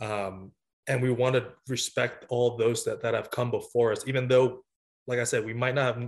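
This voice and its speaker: A man's somewhat breathy, medium-pitched voice at a fairly quick pace over a quiet background. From United States, moved from Vietnam at six. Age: 20s. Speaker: college volleyball coach. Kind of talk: interview. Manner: halting, with many fillers.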